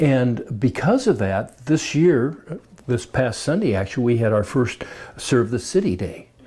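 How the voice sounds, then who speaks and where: Lively intonation runs through this man's speech at a medium pitch. His tone is dark and mellow, and somewhat breathy. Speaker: club member interviewee. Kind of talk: interview. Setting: recorded on camera. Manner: halting, many fillers.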